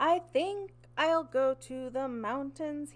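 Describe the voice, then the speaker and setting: A woman's put-on character voice, high-pitched and at a very slow pace. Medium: read story.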